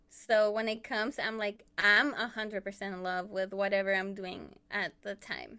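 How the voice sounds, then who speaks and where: A woman with a Spanish accent speaks in a monotone, flat intonation. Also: medium pitch for a woman, moderate pace. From Chile. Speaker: illustrator and artist. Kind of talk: casual chat.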